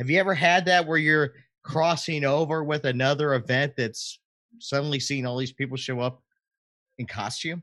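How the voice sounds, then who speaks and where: An unremarkable speaking voice moves at a moderate pace with ordinary pitch variation over a quiet background. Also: man. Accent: American. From Florida. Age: 40s. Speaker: podcast co-host. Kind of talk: casual chat. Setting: live stream.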